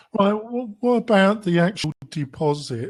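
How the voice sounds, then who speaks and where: A somewhat breathy man with a British accent talks at a moderate pace with lively intonation. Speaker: podcast host. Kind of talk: podcast interview. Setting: podcast.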